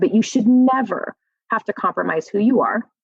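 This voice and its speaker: A woman's animated voice at a fairly quick pace, dry and close with no echo. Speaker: motivational speaker. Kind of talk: podcast interview. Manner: loud.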